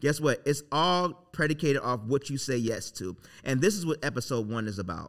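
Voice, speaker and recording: On a very clean recording with a silent background, a man speaks in a bright, sharp, animated tone with lively intonation. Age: 40s. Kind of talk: motivational faith talk.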